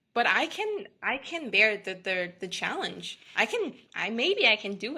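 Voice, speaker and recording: Speaking at a fairly slow pace, a woman with a Vietnamese accent uses a fairly high pitch, very wide pitch swings and a bright, sharp tone. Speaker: beverage company founder. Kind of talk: podcast interview.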